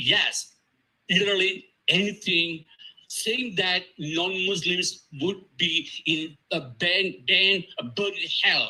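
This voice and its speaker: A raised, projected voice with a Tamil accent. The tone is bright and sharp. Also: man. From Sri Lanka. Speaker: panel speaker. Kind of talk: conference talk. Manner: halting.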